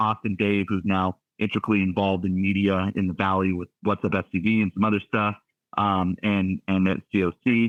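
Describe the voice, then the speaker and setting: With a Southern California accent, a man speaks at a fairly low pitch in a monotone, flat intonation. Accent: General American (Southern California). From US West Coast, Santa Clarita, California. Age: 30s. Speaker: sports broadcaster. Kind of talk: podcast interview. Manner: conversational, many fillers and restarts.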